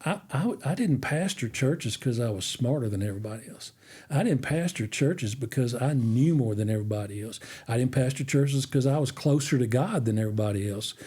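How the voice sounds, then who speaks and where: A man at medium pitch, with a somewhat breathy, dark, mellow tone and ordinary pitch variation, talks at a fairly quick pace on a very clean recording with a silent background. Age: 60s. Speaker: retired minister. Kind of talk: casual chat.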